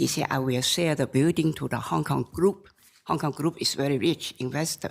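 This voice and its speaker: A woman speaks with fairly even intonation. The recording is very clean, with a silent background. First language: Chinese. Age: 70s. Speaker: appellant in a court case. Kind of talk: court testimony. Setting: courtroom. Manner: slow; halting.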